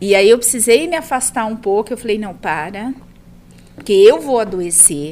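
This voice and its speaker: A woman's fairly high, lively voice at a moderate pace, a plain, everyday voice. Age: 40s. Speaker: math teacher. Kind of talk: casual interview chat.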